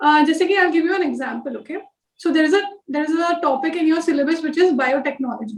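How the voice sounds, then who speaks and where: Speaking at a very fast pace, a woman uses a high pitch with ordinary pitch variation. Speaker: civil service officer giving exam guidance. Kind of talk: online class. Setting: live online class. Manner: code-switching Hindi and English.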